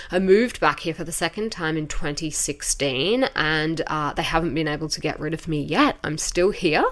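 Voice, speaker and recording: A woman with an Australian accent speaks at a moderate pace with hardly any pauses. Her pitch is fairly low and varies in an ordinary way. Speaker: podcast host, beauty industry expert. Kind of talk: podcast monologue. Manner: casual, conversational.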